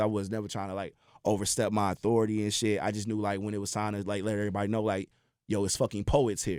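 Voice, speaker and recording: Very fast talking comes from a man with a fairly low pitch. The recording is very clean, with a silent background. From St. Louis, US Midwest. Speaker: poet. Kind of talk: casual chat. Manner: animated.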